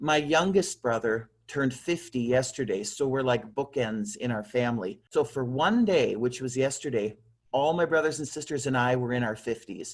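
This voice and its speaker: A man with an unremarkable speaking voice and a medium pitch talks at a moderate pace, using ordinary pitch variation and hardly any pauses. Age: 60s. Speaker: fan on a video chat. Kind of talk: casual chat. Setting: video call.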